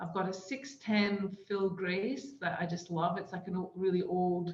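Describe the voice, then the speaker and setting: A woman speaks at a fairly slow pace with a medium pitch. Audible room echo surrounds her voice. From Scotland. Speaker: surf therapy program co-founder. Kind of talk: casual podcast chat. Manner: hesitant, many fillers.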